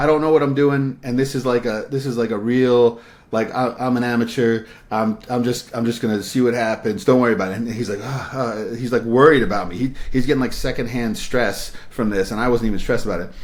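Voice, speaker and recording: This man's voice sits at a medium pitch with fairly even intonation. He talks at a fairly quick pace with hardly any pauses. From New York. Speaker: independent filmmaker. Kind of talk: interview. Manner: halting.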